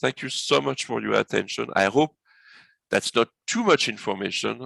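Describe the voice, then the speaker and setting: A man speaks at a moderate pace with vocal fry, and the sound is dry and close with no echo. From France. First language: French. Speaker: business consultant. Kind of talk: webinar presentation.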